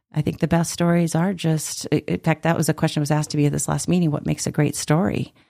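A woman with an Upper Midwest accent speaks at a very fast pace in a very deep, low pitch with a dark, mellow tone and fairly even intonation. The sound is dry and close with no echo, in a very clean recording with a silent background. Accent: Upper Midwest American. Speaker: storytelling event organizer and teacher. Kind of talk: casual interview.

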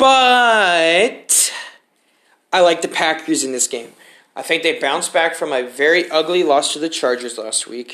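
With an American accent, a man speaks at a fairly slow pace. His high voice swings very widely in pitch. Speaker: sports podcast host. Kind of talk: solo sports picks podcast. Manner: subdued, less hyped than usual.

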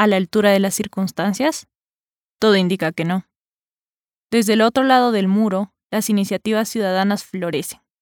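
A woman with a normal speaking voice at a medium pitch and moderate pace, in a very clean recording with a silent background and a dry, close sound with no echo. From Bolivia. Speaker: podcast host. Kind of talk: scripted narration.

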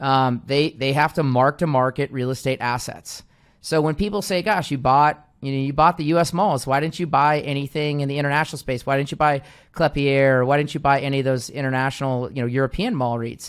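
A man talks at a fairly quick pace in a normal speaking voice, fairly high in pitch with fairly even intonation. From US Pacific Northwest, Seattle. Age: 30s. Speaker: investment firm CEO. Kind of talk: interview. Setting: video call.

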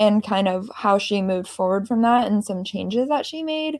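On a very clean recording with a silent background, a woman with an American accent speaks at a moderate pace in a fairly high pitch. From US Pacific Northwest, Seattle area. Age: 20s. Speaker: podcaster and educator. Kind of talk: casual interview.

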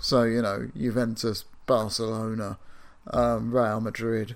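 A man with a southern English accent talks at a medium pitch with fairly even intonation. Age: 40s. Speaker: podcast co-host. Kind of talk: casual chat.

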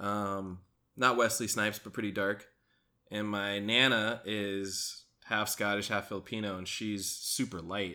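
A man's fairly low, bright and sharp voice, flat and monotone, at a fairly slow pace, on a very clean recording with a silent background. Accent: American. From US South, Georgia (Stone Mountain). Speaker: podcast co-host. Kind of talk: casual chat.

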